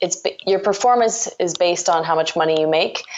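A woman with a Canadian accent and a fairly low pitch, in an unremarkable speaking voice. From Ontario, Canada. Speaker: entrepreneur, startup co-founder. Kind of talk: interview.

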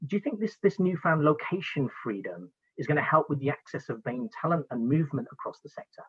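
This man has an unremarkable speaking voice. He talks at a fairly quick pace with lively intonation. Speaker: podcast host. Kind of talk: interview conversation. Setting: video call.

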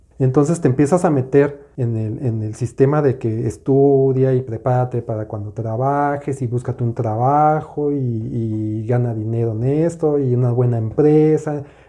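A fairly slow delivery in a dark, mellow tone, with hardly any pauses. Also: man, medium pitch for a man, ordinary pitch variation. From Mexico City. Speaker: podcast co-host, business coach. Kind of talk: casual chat.

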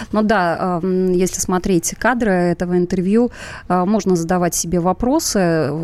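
Noticeable background noise behind a woman at medium pitch, with fairly even intonation, very even loudness, and a fairly slow pace. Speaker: radio show co-host. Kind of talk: live talk show, political discussion.

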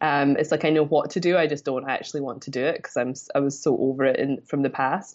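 The speaker talks at a very fast pace with a Scottish accent. The intonation is fairly even. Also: woman, very deep, low pitch for a woman, hardly any pauses. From Scotland. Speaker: business mentor. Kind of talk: casual interview chat.

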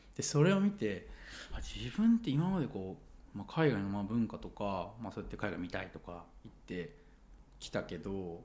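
Big swings in loudness mark a man speaking at a moderate pace. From Japan, Sendai (Miyagi). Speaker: engineer. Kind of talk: casual interview chat.

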